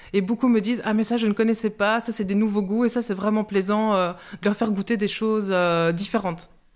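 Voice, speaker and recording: An unremarkable speaking voice moves at a fairly quick pace with fairly even intonation in a very clean recording with a silent background. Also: woman. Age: 40s. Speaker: social grocery worker and cook. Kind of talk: interview testimony.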